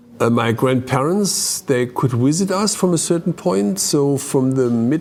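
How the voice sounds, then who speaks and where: Noticeable background noise surrounds a man speaking at a fairly slow pace. His pitch is fairly high and his intonation lively. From East Germany. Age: 60s. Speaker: former East German refugee. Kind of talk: testimony. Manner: halting, many fillers.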